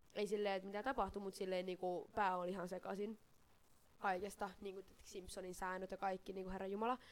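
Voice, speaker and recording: Her intonation monotone and flat, a woman speaks at a medium pitch and a fairly quick pace. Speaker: podcast co-host. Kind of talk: casual chat. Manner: stammering.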